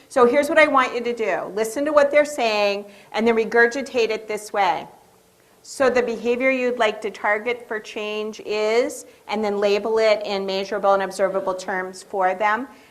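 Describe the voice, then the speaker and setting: The voice moves at a moderate pace, with audible room echo. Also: woman, fairly high pitch for a woman, ordinary pitch variation. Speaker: education behavior specialist. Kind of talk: lecture. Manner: animated.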